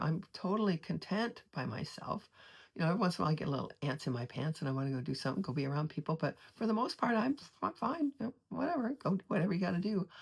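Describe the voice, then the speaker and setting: Talking at a very fast pace, a woman swings very widely in pitch. Her fairly low voice is somewhat breathy. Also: very clean recording, silent background. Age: 70s. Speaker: artist and vlogger. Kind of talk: casual personal monologue. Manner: halting, many restarts.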